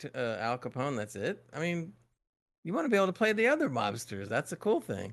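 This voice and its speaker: A man's voice with very wide pitch swings. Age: 40s. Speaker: gaming podcast co-host. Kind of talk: casual chat.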